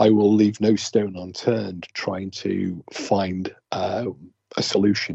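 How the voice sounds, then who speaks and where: A man with an English accent at a fairly low pitch, very slow, in a monotone, flat intonation. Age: 60s. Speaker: ghost hunter. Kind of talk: casual chat. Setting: phone call. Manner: quieter than usual.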